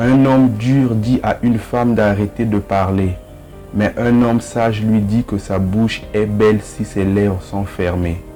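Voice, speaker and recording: Music plays in the background as a man speaks at a fairly slow pace. His pitch is fairly low and his intonation fairly even. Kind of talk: motivational quote reading.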